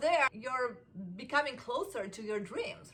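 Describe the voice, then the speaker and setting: A woman speaks with a high pitch and lively intonation. Her tone is bright and sharp. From Argentina. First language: Spanish. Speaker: self-help vlogger. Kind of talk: casual motivational monologue. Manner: animated, conversational with many fillers.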